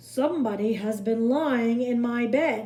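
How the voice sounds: In a put-on character voice, a woman speaks at a fairly slow pace with a fairly high pitch.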